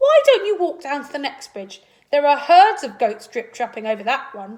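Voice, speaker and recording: A woman puts on a character voice, pitched high. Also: moderate pace. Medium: read story.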